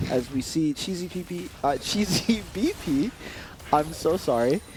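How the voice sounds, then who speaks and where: A man with a non-native accent speaks fairly slowly, his voice fairly high and his intonation lively. Noticeable background noise is present. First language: not English. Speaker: esports caster. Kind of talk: live commentary. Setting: LAN event.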